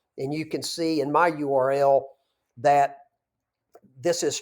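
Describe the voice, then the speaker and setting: A man with a Southern US accent is heard in a very clean recording with a silent background. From US South, North Georgia. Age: 50s. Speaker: business broker. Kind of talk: tutorial; direct-to-camera talk.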